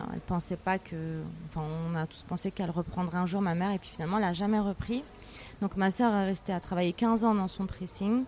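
A woman with a medium pitch speaks at a fairly quick pace with fairly even intonation. Her loudness swings widely. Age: 40s. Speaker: entrepreneur. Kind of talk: interview. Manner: hesitant, many fillers.

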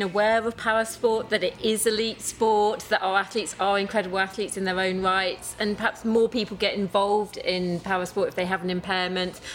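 Over noticeable background noise, a woman talks at a medium pitch with fairly even intonation and hardly any pauses. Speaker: para athlete and sports administrator. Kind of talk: casual chat. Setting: live in-person recording at sports venue.

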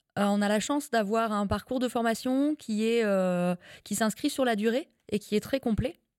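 A woman with a fairly high pitch speaks at a moderate pace with ordinary pitch variation, in a dry, close sound with no echo on a very clean recording with a silent background. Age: 30s. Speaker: livestock farming consultant. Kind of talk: interview. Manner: hesitant fillers.

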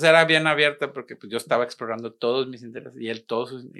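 A man speaks at a very fast pace and a medium pitch, with a bright, sharp tone. The background is quiet. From Monterrey, Mexico. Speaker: artist and arts educator. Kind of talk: casual interview. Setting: studio.

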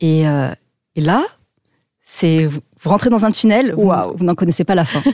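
A woman's dark, mellow voice at fairly low pitch, very slow pace, lively intonation and very even loudness, with a dry, close sound and no echo. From French Alps. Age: 30s. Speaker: business intelligence firm founder, former army officer. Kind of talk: interview.

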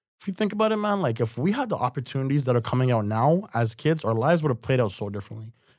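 A man talking at a very fast pace with a Toronto accent, on a very clean recording with a silent background. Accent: Canadian (Toronto area). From Mississauga, Ontario, Canada. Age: 20s. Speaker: poet and creative project manager. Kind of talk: casual interview.

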